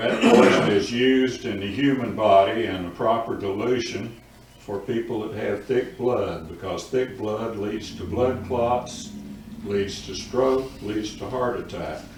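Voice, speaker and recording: Speaking with an Appalachian accent at a fairly slow pace, this voice keeps a fairly even intonation amid noticeable background noise and audible room echo. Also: man, medium pitch for a man. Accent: Appalachian US Southern. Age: 80s+. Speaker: public commenter at town council. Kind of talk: public comment.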